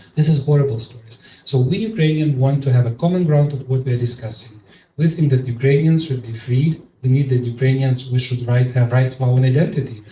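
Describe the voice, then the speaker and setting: Talking at a very fast pace, this man has a dark, mellow tone and sounds somewhat breathy. His pitch is medium and his intonation fairly even. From eastern Ukraine, Donetsk. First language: Russian. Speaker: Ukrainian policy expert. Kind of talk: panel discussion. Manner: emotional; halting.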